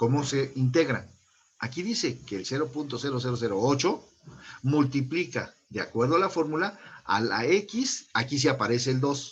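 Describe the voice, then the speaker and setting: A man speaks at a moderate pace. His voice is somewhat breathy, with lively intonation. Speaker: online high school math teacher. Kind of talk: lecture.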